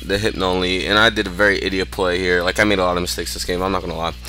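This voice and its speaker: Very deep, low male voice, music playing in the background. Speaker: gaming commentator. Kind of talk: gameplay commentary. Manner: fast; casual with many fillers.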